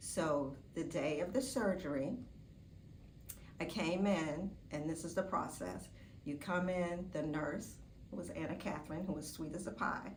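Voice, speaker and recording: A woman with a fairly low pitch and ordinary pitch variation, at a fairly slow pace with long, frequent pauses, amid audible room echo. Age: 60s. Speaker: surgery patient. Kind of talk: testimony. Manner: casual, with filler words.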